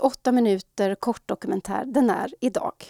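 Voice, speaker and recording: A woman speaks in a dark, mellow tone. The recording is very clean, with a silent background, and the sound is dry and close with no echo. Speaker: podcast host. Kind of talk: scripted narration.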